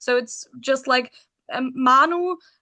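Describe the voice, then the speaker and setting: A woman's raised, projected voice at a high pitch, bright and sharp in tone, with fairly even intonation, a fairly slow pace and a quiet background. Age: 20s. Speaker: rock band singer. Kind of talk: interview.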